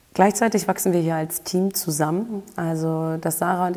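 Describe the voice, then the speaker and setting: A woman speaks at a fairly quick pace in a fairly low voice. Her intonation is monotone and flat, with noticeable background noise behind her. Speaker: health and performance coach, podcast host. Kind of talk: solo podcast monologue.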